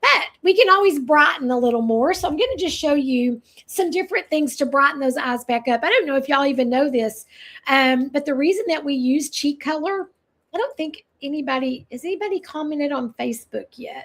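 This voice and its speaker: In an American accent, the speaker talks at a fairly quick pace with an animated tone. The recording is very clean over a silent background. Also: woman, high pitch for a woman, lively intonation. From US South (eastern Tennessee, Texas). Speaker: makeup consultant. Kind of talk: live product demonstration. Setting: livestream.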